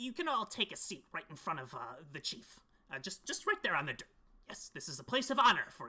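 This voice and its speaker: The put-on character voice sits at a fairly high pitch and moves at a fairly quick pace. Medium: actual play.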